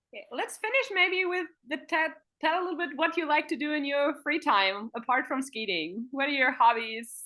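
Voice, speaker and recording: With hardly any pauses, a woman speaks in a German accent at a high pitch. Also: lively intonation, moderate pace. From Germany. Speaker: sports interviewer. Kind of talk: interview.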